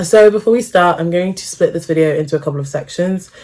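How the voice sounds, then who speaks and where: Noticeable background noise accompanies a woman talking very fast at a fairly low pitch. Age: 20s. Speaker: medical student vlogger. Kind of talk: casual Q&A vlog.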